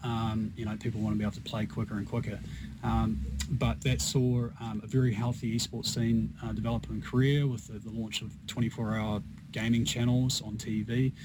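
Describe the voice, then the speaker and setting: This man speaks with a New Zealand accent at a medium pitch and moderate pace, using ordinary pitch variation. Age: 40s. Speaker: esports business executive. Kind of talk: radio interview. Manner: halting.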